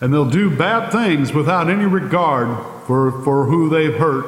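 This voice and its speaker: A man with a fairly high pitch speaks at a moderate pace. Noticeable background noise sits behind him. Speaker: preacher. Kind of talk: sermon.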